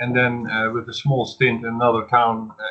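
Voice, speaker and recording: A medium-pitched man with a Dutch accent at a moderate pace. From Netherlands. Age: 50s. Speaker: podcast host. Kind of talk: casual chat.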